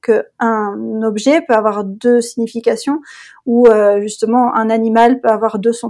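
A woman speaks at a fairly high pitch in a dark, mellow tone. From France, Le Mans. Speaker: bilingualism expert, mother. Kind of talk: interview.

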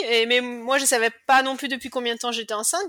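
A woman speaks at a very fast pace. Her pitch sits fairly high. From western France, Cholet. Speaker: cancer survivor, mother. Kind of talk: personal testimony interview. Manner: talkative.

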